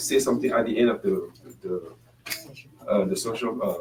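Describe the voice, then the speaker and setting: A man with a French accent speaks at a fairly quick pace against noticeable background noise. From French-speaking Africa. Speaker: panelist. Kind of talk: panel discussion. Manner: halting.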